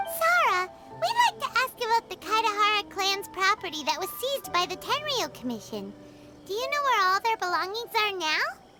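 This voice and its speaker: An extremely high-pitched, put-on character voice moves at a moderate pace over clear background music. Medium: machinima.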